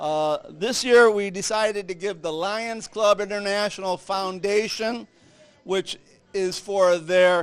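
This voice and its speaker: This man talks loudly and fairly slowly, his high pitch moving with ordinary variation. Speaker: Lions Club member presenting charity checks. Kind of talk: public speech at charity event.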